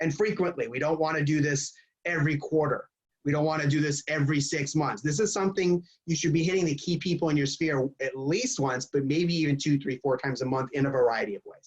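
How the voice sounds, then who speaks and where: Somewhat breathy and fairly high in pitch, a man races along at a very fast pace with ordinary pitch variation. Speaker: real estate coach. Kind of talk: webinar Q&A. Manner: animated.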